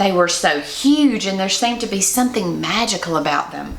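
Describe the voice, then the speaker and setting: Very wide pitch swings from a woman at a fairly slow pace, over noticeable background noise. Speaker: Mrs. Claus performer. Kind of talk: children's picture book read-aloud.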